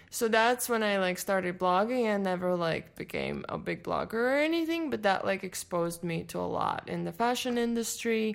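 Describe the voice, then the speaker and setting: With lively intonation, the voice moves at a moderate pace with hardly any pauses. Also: woman, medium pitch for a woman. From Latvia. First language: Latvian. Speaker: fashion showroom agency owner. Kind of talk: interview.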